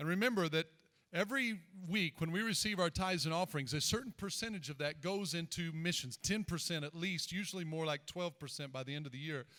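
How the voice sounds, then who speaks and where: With a Southern US accent, a man talks at a very fast pace. His high voice has a bright, sharp tone and ordinary pitch variation. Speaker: pastor. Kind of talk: church service introduction. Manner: casual.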